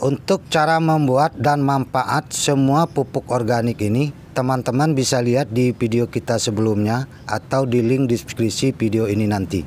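Speaking at a moderate pace with hardly any pauses, a man keeps very even loudness and ordinary pitch variation, with dry sound, no echo and light background noise. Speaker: home gardening vlogger. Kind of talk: tutorial. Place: garden. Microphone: phone near.

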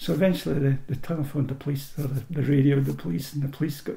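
Amid audible room echo and noticeable background noise, a man with an Ayrshire accent speaks at a very fast pace in a fairly high pitch. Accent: Scottish, Ayrshire. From Scotland, Irvine in Ayrshire. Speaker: oral history interviewee. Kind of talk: personal storytelling. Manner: halting, with repetitions.

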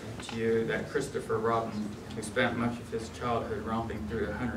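What you hear is plain reading aloud.

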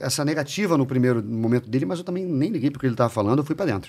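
This is a man speaking. His intonation is lively. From Rio de Janeiro, Brazil. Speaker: chef and bar owner; podcast guest. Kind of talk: casual chat. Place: studio. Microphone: studio mic.

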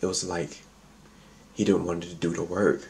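A man's somewhat breathy voice at a moderate pace, with fairly even intonation over light background noise. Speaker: mukbang vlogger. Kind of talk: casual vlog chat. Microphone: phone near.

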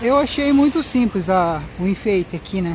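The sound is dry, with no echo. Light background noise runs underneath. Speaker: cyclist vlogger. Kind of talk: casual vlog chat. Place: bicycle. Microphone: phone near.

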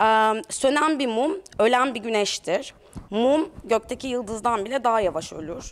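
Speaking at a fairly slow pace, a woman uses a high pitch and lively intonation. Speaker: curator. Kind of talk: exhibition talk. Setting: gallery with audience. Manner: hesitant, many filler sounds. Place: hall.

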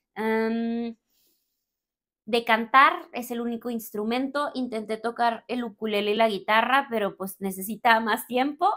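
A woman's fairly high, bright and sharp voice at a fairly slow pace, with ordinary pitch variation, over a quiet background. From Mexico, Torreón, Coahuila; Coahuila, Mexico. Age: 30s. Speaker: spiritual coach and content creator; spiritual coach, content creator. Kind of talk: casual Q&A monologue to camera. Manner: animated. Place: home room.

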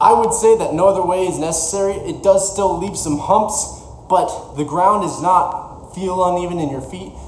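A man with a high voice speaks at a moderate pace and ordinary pitch variation, with audible room echo and light background noise. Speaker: fitness vlogger. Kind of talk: casual vlog chat. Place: garage. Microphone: camera far.

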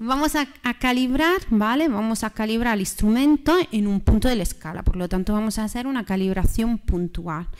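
With an Italian accent, a woman talks at a moderate pace in a fairly high voice, her intonation lively against a quiet background. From Italy. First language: Italian (speaking Spanish). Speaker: university lecturer; course lecturer. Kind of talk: lecture. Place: hall.

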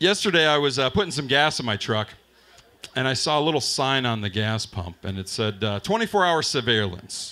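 Pausing long and often, a man speaks at a fairly slow pace. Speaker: stand-up comedian. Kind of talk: stand-up comedy set, crude and profane, one-liners and punchlines. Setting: stage with live audience at open mic night. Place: bar.

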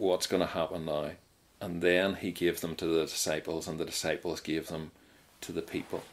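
A man with a Mid Ulster accent speaks at a moderate pace. His pitch is very deep and low, and his intonation is monotone and flat. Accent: Northern Irish (Mid-Ulster). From Northern Ireland, County Tyrone. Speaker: Methodist minister, church president. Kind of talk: interview testimony. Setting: radio show recording.

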